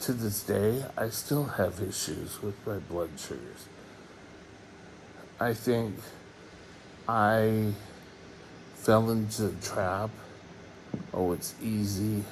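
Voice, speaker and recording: A man with a fairly low voice speaks very slowly, with long, frequent pauses and ordinary pitch variation. Audible echo fills the room. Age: 60s. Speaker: diabetes vlogger. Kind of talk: casual vlog monologue.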